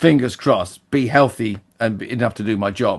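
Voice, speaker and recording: This man speaks at a medium pitch with ordinary pitch variation. The background is quiet. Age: 60s. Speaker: podcast co-host. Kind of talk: casual chat.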